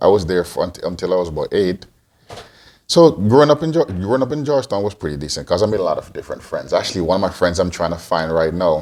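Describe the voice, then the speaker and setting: Speaking very fast, a man with a very deep, low voice swings very widely in pitch on a very clean recording with a silent background. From Antigua (born in Guyana). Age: 40s. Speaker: podcast co-host, father. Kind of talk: casual Q&A interview. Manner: hesitant, many fillers and restarts.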